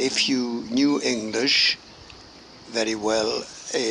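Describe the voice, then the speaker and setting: Noticeable background noise sits behind the recording. A man with a Highland Scottish accent speaks at a very slow pace and medium pitch. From Scottish Highlands, Gairloch, west coast. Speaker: grandfather sharing memories. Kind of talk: oral history interview. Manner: halting, many fillers.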